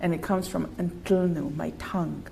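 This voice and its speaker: Noticeable background noise and audible room echo surround the recording. A woman speaks at a medium pitch and a fairly slow pace. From Cape Breton, Nova Scotia (Mi'kmaq First Nation community). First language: Mi'kmaq. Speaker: artist. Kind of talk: interview conversation. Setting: online live-streamed talk.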